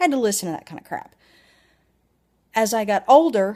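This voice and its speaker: With a Southern US accent, a woman speaks at a fairly high pitch on a very clean recording with a silent background. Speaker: vlogger. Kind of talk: personal video blog. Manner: animated.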